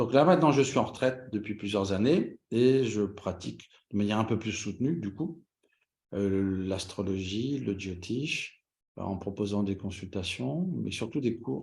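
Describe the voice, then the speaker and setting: Somewhat breathy and fairly low-pitched, a man talks at a fairly slow pace with lively intonation. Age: 60s. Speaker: astrologer. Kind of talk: interview.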